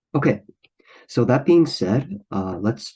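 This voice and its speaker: Using a dark, mellow tone, a man talks at a moderate pace. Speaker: math tutor. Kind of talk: tutorial. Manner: hesitant, many fillers.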